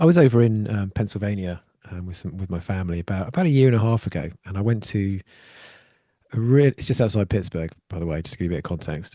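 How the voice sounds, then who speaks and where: A man with an English accent talks at a very fast pace in a dark, mellow tone, his fairly low pitch showing ordinary variation while his loudness swings widely. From UK. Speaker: podcast host. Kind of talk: podcast interview.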